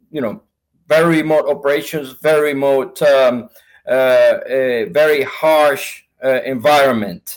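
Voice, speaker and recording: A man's fairly high voice, very slow, in a Spanish accent, with ordinary pitch variation. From Venezuela. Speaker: sales manager. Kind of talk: interview.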